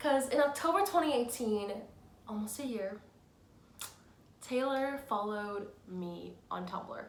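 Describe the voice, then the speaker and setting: With audible room echo, a woman with a fairly high voice speaks fairly slowly in an animated tone, her intonation lively and her pauses long and frequent. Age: 20s. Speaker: fan vlogger. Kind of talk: casual vlog storytelling.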